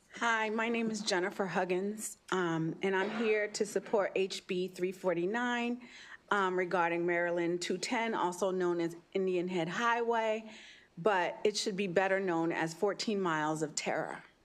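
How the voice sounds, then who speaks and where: At a moderate pace, a woman of medium pitch talks in an unremarkable speaking voice. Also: ordinary pitch variation. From New York City. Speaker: citizen testifying at legislative hearing. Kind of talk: public testimony. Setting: legislative committee hearing.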